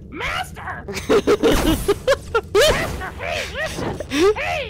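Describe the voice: A squeaky, put-on character voice at an extremely high pitch and a very slow pace, with light background noise.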